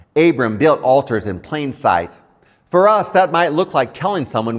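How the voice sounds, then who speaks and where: His pitch swings very widely. The man talks at a moderate pace, with vocal fry. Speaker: pastor, Bible teacher. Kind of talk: Bible teaching, scripture reflection.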